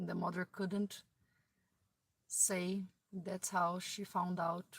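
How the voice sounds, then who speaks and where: Speaking very slowly with a non-native accent, a woman keeps a monotone, flat intonation in a fairly low, somewhat breathy voice. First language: not English. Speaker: video blogger. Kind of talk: casual monologue. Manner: halting.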